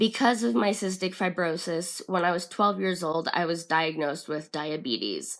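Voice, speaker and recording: A woman with a fairly low pitch speaks at a moderate pace, with hardly any pauses. Her pitch variation is ordinary. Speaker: health vlogger. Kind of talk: casual vlog monologue. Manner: halting, many fillers.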